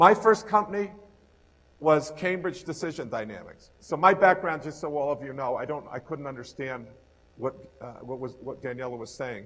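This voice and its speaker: The speaker talks with a New York accent, and the loudness swings widely. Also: man, fairly high pitch for a man. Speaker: entrepreneurship professor. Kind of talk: lecture. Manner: fast.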